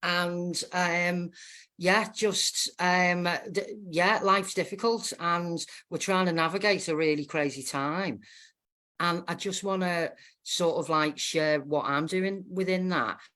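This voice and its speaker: In a Liverpool accent, a woman with a fairly low pitch speaks very slowly in a bright, sharp tone with fairly even intonation, on a very clean recording with a silent background. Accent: Scouse. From northern England, Wallasey, Wirral. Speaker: guest. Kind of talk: casual chat.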